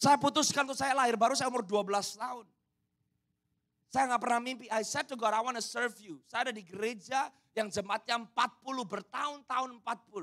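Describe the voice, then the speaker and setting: A man speaks at an extremely high pitch and a fairly quick pace. His tone is animated, with ordinary pitch variation. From Indonesia. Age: 30s. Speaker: pastor. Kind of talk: sermon.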